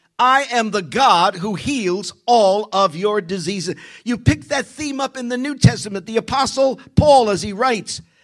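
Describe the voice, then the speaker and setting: A man speaks in a high pitch with an animated tone and lively intonation, hardly pausing at all. Music plays in the background. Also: moderate pace. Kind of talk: sermon, preacher in full flow. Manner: animated, rhythmic and emphatic, with repeated phrases and call-and-response; fervent, declarative, building repetition of key lines.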